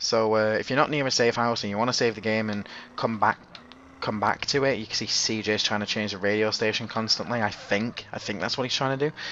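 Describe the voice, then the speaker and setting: Noticeable background noise sits behind a man talking at a very fast pace, medium in pitch, with fairly even intonation. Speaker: gaming YouTuber. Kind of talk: gameplay commentary. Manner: halting, stuttering; casual.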